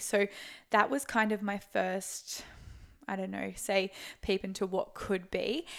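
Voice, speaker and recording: With an Australian accent, a woman speaks at a medium pitch with vocal fry, recorded very cleanly against a silent background. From Australia, Sunshine Coast, Queensland. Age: 20s. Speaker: online fitness coach. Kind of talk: casual chat. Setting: Airbnb in Brisbane.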